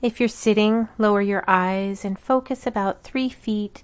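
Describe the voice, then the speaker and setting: A woman speaks at a fairly slow pace in a normal speaking voice, her fairly high pitch held in fairly even intonation. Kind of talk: guided meditation. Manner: slow, calm, soothing; gently paced, with long pauses between counts.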